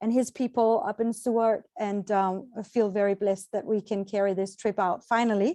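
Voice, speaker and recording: Speaking at a fairly quick pace in a Danish accent, a woman has a dark, mellow tone and a fairly high pitch with fairly even intonation. The sound is dry and close with no echo, over a quiet background. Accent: non-American (Danish). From Denmark, Copenhagen. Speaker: travel agent, tour organizer. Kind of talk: informational presentation. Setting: video call. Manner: hesitant with fillers.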